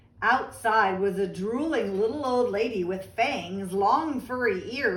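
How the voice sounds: What comes through is a natural reading voice.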